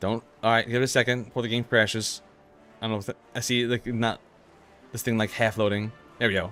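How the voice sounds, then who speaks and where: With music in the background, a man at medium pitch speaks very fast in a monotone, flat way, broken by long, frequent pauses. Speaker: gaming streamer. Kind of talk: live game stream commentary. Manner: halting, stumbling over words.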